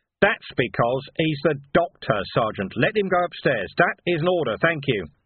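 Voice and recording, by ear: A put-on character voice from a man, fairly high in pitch, husky with a rough edge, at a moderate pace with big pitch swings.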